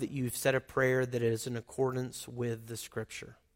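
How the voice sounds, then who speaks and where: He speaks in a Southern US accent. The man's pace is moderate. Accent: Southern US (Oklahoma). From Oklahoma. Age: 40s. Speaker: pastor. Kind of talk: sermon. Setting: church.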